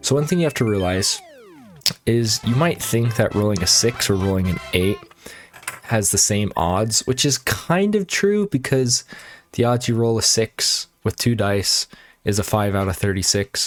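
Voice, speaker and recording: A man with an unremarkable speaking voice talks at a medium pitch, with ordinary pitch variation and very even loudness. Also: moderate pace. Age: 20s. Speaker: gaming youtuber. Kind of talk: gameplay commentary. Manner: casual, with frequent self-corrections.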